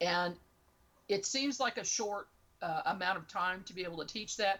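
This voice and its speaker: An unremarkable speaking voice from a woman, medium in pitch, moderate in pace. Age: 60s. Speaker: paranormal investigator and remote viewer. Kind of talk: interview.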